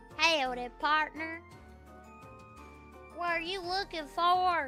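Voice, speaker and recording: A put-on character voice in a Southern US accent, extremely high-pitched and very slow, over clear background music. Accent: southern drawl. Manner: casual, friendly.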